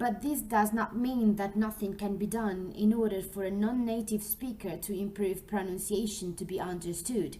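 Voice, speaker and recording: A woman at medium pitch speaks with a Spanish accent at a moderate pace, with fairly even intonation and hardly any pauses. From Colombia. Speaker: English teacher trainee. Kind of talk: scripted narration. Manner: formal.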